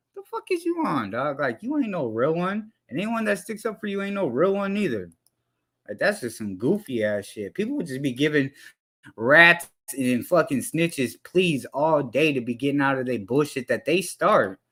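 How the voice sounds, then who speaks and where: A shouting man at a moderate pace, passionate and bright-toned with a sharp edge, fairly high in pitch with very wide pitch swings, on a very clean recording against a silent background. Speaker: live streamer commenting on hip-hop news. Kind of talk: casual livestream commentary. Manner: yelling, passionate.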